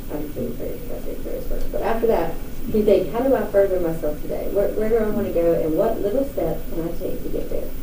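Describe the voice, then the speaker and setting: A woman with an American accent speaks at a very fast pace. The recording has noticeable background noise and audible room echo. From North Carolina, near Hickory. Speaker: country singer. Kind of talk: interview.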